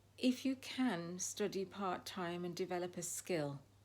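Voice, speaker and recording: A woman with a fairly low pitch is heard on a very clean recording with a silent background. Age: 60s. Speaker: lifestyle vlogger. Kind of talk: casual monologue. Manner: hesitant, many fillers.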